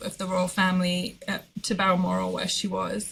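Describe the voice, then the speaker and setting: The speaker has a British accent and a fairly slow pace. The recording is very clean, with a silent background. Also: woman. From Britain. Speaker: quilting artist. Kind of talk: podcast interview.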